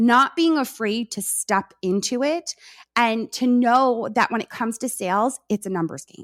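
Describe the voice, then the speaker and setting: A woman with an American accent speaks with lively intonation and big swings in loudness, recorded very cleanly against a silent background with a dry, close sound and no echo. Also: fairly high pitch for a woman. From New York. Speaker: content strategist, former teacher. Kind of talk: podcast interview. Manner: fast.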